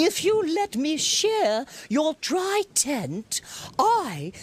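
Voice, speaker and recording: A put-on character voice, very slow, with very wide pitch swings. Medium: read story.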